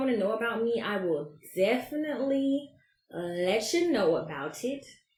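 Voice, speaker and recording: A woman with an American accent speaks in an animated tone with very wide pitch swings, and audible room echo can be heard. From US South, Georgia (Albany, then Atlanta). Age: 30s. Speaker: podcast host. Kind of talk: casual monologue.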